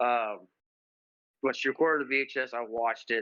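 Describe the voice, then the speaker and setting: A man with an unremarkable speaking voice, medium pitch and fairly even intonation. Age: 30s. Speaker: podcast co-host. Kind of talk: casual chat.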